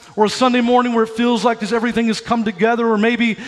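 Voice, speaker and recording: Energetic and animated, a man speaks in a high pitch. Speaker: pastor. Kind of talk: sermon. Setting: church with live congregation. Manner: animated, exhortative, energetic preaching with crowd prompts; urgent, fervent, building to an altar call. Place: church. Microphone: headset.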